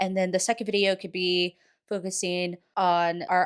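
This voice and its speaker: A woman with an ordinary speaking voice talks in an American accent at a medium pitch and a moderate pace. The sound is dry and close with no echo, on a very clean recording with a silent background. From Texas. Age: 20s. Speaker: lifestyle vlogger. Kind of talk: casual voiceover vlog narration.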